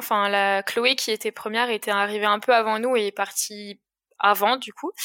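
Her pitch fairly high and her tone bright and sharp, a woman speaks at a fairly slow pace with monotone, flat intonation. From Alsace, France. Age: 20s. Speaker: amateur trail runner. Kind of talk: interview. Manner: hesitant, many fillers.

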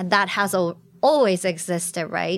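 A woman's medium-pitched voice with a Japanese accent at a moderate pace, on a very clean recording with a silent background. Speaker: migration researcher. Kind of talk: panel discussion.

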